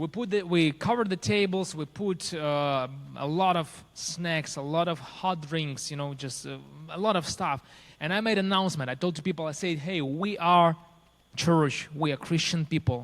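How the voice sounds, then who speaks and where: A man with a Ukrainian accent, fairly high in pitch, at a moderate pace with ordinary pitch variation, in a very clean recording with a silent background. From Ukraine. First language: Ukrainian or Russian. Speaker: pastor. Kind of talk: testimony. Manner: halting.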